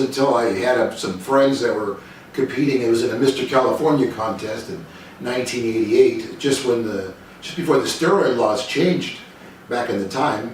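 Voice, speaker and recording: Amid noticeable background noise and audible room echo, the voice moves at a moderate pace with ordinary pitch variation. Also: man. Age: 60s. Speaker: bodybuilder and vlogger. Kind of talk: personal talk to camera. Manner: halting, many fillers.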